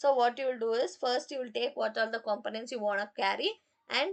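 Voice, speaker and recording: A woman with a high pitch. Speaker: programming teacher. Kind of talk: live online class. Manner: slow; halting.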